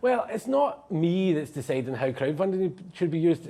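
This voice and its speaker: The speaker is a man. He talks in a Glasgow accent. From Scotland. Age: 20s. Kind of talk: live TV interview answer. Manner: hesitant.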